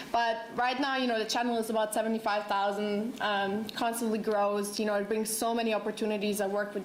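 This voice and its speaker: Over noticeable background noise and audible room echo, a woman with a fairly high pitch and a Croatian accent talks at a fairly quick pace in a flat monotone. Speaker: beauty vlogger and student. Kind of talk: panel introduction.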